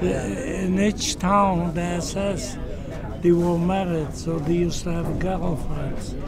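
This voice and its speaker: A man's very slow speech, dry with no echo, over noticeable background noise. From Poland. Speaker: Holocaust survivor. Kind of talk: interview answer. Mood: intense, emotional recollection. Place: hall. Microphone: phone near.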